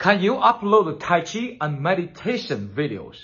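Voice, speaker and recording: With a Chinese accent, a man talks at a moderate pace, his pitch swinging very widely. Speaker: kung fu teacher. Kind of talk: tutorial. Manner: enthusiastic. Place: home room. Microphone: phone near.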